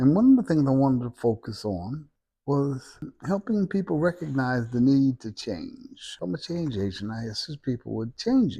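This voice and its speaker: With an American accent, a man speaks in a dark, mellow, somewhat breathy voice. His pitch swings very widely. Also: medium pitch for a man, moderate pace. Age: 70s. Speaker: self-help vlogger, senior citizen. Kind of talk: casual talk to camera. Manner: repetitive, stammering.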